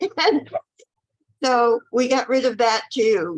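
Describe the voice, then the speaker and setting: A woman's voice with vocal fry, in a dry, close sound with no echo. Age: 80s+. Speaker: patient in a health program. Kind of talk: testimony. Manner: hesitant with fillers.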